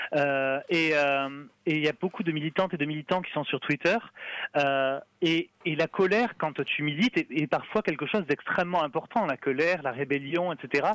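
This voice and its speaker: At a moderate pace, a man speaks with a fairly high pitch and ordinary pitch variation, the sound dry and close with no echo. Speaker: communications officer at a free-software nonprofit. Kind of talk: radio interview. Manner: talkative.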